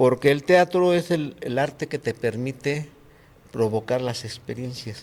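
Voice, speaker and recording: In a very clean recording with a silent background, a man speaks fairly slowly at a medium pitch with ordinary pitch variation. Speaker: actor and puppeteer. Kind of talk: interview. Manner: soft-spoken.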